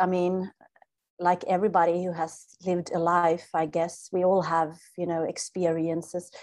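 A woman's flat, monotone delivery in a Swedish accent. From Sweden. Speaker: spiritual teacher. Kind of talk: interview.

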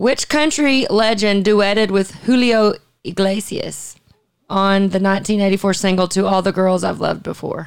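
A woman with a Southern US accent, medium in pitch with ordinary variation, at a fairly slow pace. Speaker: podcast host. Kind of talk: casual chat.

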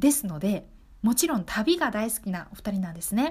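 Very wide pitch swings mark a woman's speech. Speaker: community radio host. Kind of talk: casual radio talk show.

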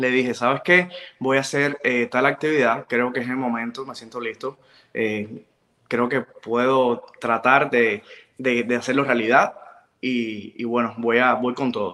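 A man talks at a fairly slow pace in a medium-pitched voice. His intonation stays fairly even. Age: 20s. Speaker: makeup artist and pageant organizer. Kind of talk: interview.

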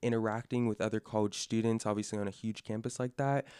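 A man with an American accent talks very fast at a medium pitch. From California (Sacramento). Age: young. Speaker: incoming college student. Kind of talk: casual interview.

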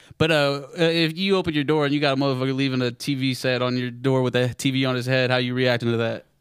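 With noticeable background noise behind him, a man with an American accent speaks at a medium pitch and a very fast pace, with fairly even intonation and hardly any pauses. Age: 20s. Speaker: podcast host. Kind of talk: casual chat. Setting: live studio podcast with audience.

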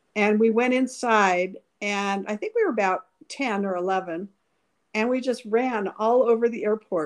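A woman speaks in a normal speaking voice, fairly high in pitch. She keeps a moderate pace against a quiet background. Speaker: older sister telling childhood stories. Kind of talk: elder telling life stories, casual reminiscing. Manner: nostalgic, chatty, laughing.

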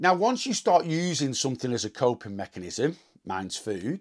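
Vocal fry and very wide pitch swings from a man, captured on a very clean recording over a silent background. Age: 40s. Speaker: weight loss podcaster. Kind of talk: solo monologue. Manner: casual, unscripted.

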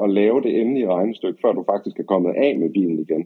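A man rushes along at a very fast pace, his intonation lively. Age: 30s. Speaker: motoring journalist. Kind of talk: interview.

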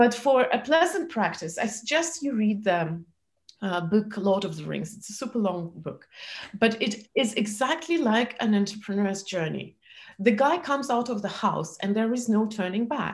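A somewhat breathy woman with a fairly high pitch and lively intonation. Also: moderate pace. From former Soviet Union. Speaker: entrepreneur and speaker. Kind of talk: interview. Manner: halting.

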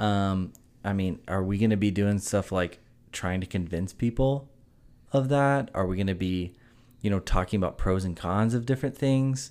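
A man with an American accent and an ordinary speaking voice, fairly low in pitch with ordinary pitch variation, at a moderate pace on a very clean recording with a silent background. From South Carolina (Greenville). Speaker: podcast co-host, golfer. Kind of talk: casual chat. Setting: hotel room.

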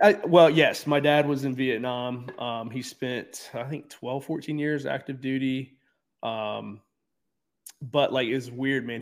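A man with an American accent and a plain, everyday voice speaks at a fairly slow pace and medium pitch, his intonation fairly even. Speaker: gym owner and addiction recovery advocate. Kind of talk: interview. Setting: video call with poor internet.

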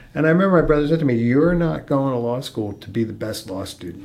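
With noticeable background noise behind him, a man speaks at a very fast pace and a medium pitch, his voice making very wide pitch swings. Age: 50s. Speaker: martial artist and lawyer. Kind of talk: interview conversation.

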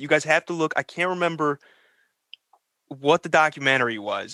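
Bright and sharp in tone, a man speaks fairly quickly at fairly high pitch with fairly even intonation, in a dry, close sound with no echo. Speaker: podcast co-host. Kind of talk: casual comedic banter. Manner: joking, laughing.

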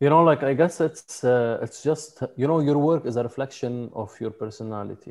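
A man with a Lebanese accent speaks at a moderate pace with hardly any pauses. His pitch is fairly high, with ordinary variation. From Lebanon; mountain village in Lebanon. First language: Arabic. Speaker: photographer and videographer. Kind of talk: interview conversation.

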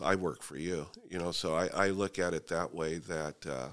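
In an American accent, the speaker talks at a moderate pace with fairly even intonation over a very clean recording and a silent background. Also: man. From US West Coast (Fresno, California). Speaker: real estate company founder. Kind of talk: interview. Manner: halting.

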